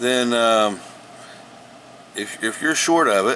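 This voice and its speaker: A man speaks at a very slow pace with a medium pitch and lively intonation over noticeable background noise. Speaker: home gardener sharing tips. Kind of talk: casual tutorial. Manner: halting, many repetitions and fillers.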